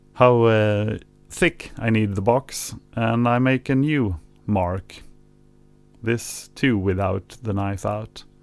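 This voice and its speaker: In a very clean recording with a silent background, a man with a non-native accent speaks at a very slow pace, medium in pitch with fairly even intonation. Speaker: vinyl record collector. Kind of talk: tutorial narration. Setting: home recording with mixer hum. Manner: hesitant, casual.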